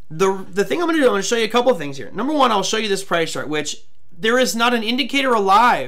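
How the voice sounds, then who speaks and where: Very fast and high-pitched, a man's voice swings very widely in pitch over noticeable background noise. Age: 40s. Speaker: trading show host. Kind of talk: live show interview. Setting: live stream.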